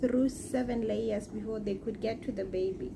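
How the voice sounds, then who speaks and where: A soft-spoken woman, fairly high in pitch with lively intonation, amid audible room echo. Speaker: vlogger. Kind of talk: casual vlog talk to camera. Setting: at home in bed.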